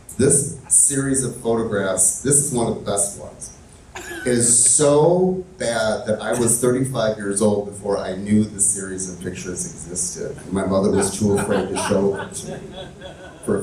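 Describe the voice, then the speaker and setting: Amid noticeable background noise, a man with a fairly low pitch talks at a moderate pace, his pitch variation ordinary and his loudness swinging widely. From Chicago suburbs, US. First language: Italian. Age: 50s. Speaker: community leader, LGBT history activist. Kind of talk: on-stage interview. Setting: stage with live audience. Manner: hesitant, many fillers.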